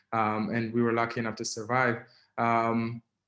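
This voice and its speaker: This is a man speaking with an Israeli accent. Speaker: activist and writer. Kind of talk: webinar talk. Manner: halting, many fillers.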